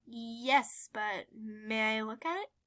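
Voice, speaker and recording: In a very clean recording with a silent background, a woman uses a put-on character voice with a timid tone and a fairly high pitch. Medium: read story. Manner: timid, soft-spoken.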